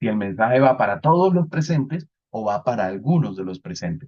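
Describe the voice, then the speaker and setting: With very wide pitch swings, a man speaks at medium pitch and a fairly quick pace. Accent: Colombian Caribbean. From Colombian Caribbean coast, Santa Marta. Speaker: networking instructor. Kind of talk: lecture.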